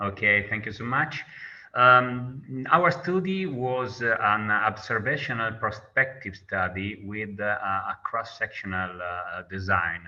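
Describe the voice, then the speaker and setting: A man speaks with an Italian accent at a medium pitch. His tone is bright and sharp, his intonation lively. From Italy. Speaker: nursing researcher. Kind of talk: lecture. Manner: halting.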